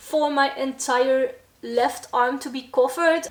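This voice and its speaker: In a Brabant accent, a woman talks with a high voice and ordinary pitch variation. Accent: Dutch accent, Brabant. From Netherlands, Brabant (south). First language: Dutch. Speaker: metal vlogger and band musician. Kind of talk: casual Q&A vlog. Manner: halting, searching for words.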